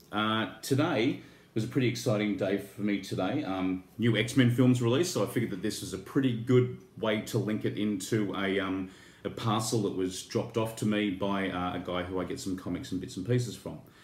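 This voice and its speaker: A man talks at a fairly quick pace with a fairly low pitch. His pitch varies in an ordinary way, and audible room echo surrounds him. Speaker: toy and horror YouTuber. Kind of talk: casual unboxing vlog. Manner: halting, many fillers.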